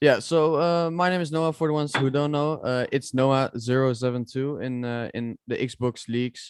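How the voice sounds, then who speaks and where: With a Dutch accent, the speaker keeps a moderate pace and fairly even intonation. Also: man, medium pitch for a man. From Netherlands. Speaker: esports sim racer. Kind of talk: casual chat. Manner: halting.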